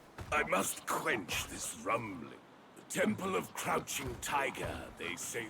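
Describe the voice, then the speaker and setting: Someone does a put-on character voice over clear background noise. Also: man, fairly slow pace. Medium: video game. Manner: musing, hums to himself.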